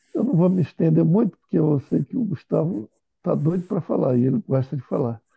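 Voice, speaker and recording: A man is speaking. His tone is dark and mellow. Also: dry, close sound with no echo. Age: 60s. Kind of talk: casual chat.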